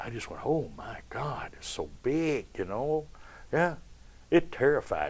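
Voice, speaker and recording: The man talks at a fairly slow pace with big swings in loudness. The background is quiet. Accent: Kentucky. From Kentucky. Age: 70s. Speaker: stage performer. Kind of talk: interview. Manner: animated.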